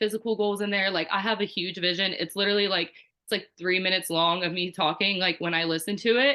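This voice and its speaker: At a fairly quick pace, a woman talks in a medium pitch with fairly even intonation. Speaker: network marketing team leader. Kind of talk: team call presentation. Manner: fast; casual, filler-heavy.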